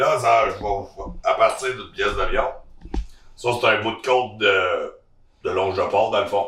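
Speaking at a fairly slow pace with a Quebec accent, a man is heard with audible room echo. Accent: Québécois French. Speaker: butcher. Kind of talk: casual chat.

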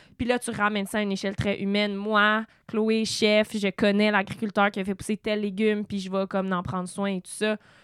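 Speaking at a fairly quick pace with hardly any pauses, a woman of medium pitch keeps a monotone, flat intonation in a very clean recording with a silent background and a dry, close sound with no echo. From Quebec, Eastern Townships (Sutton). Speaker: podcast host. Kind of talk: casual interview.

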